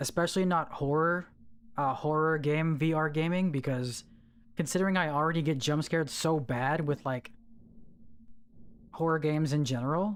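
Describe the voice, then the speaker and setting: A moderate pace broken by long, frequent pauses, in a very clean recording with a silent background. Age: 30s. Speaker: game streamer. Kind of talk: casual live stream chat. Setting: live stream. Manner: animated.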